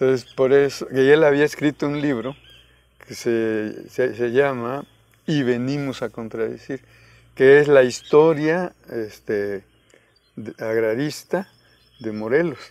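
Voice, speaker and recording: Speaking at a very slow pace with long, frequent pauses, a man with a medium-pitched voice shows ordinary pitch variation and big swings in loudness, the sound dry with no echo. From Guerrero, Mexico (Coyuca de Benítez); Guerrero, Mexico. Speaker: peasant organizer and rural university founder; interviewee. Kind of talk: interview. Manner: halting. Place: garden. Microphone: lapel.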